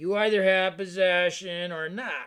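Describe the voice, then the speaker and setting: A man puts on a raspy character voice, pitched high for a man. He talks at a moderate pace in a flat, monotone delivery. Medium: read story. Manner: menacing, sinister.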